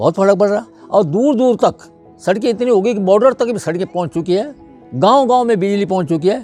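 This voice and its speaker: A man talks at a high pitch with lively intonation. His pace is moderate, with music in the background. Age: old. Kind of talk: interview answer.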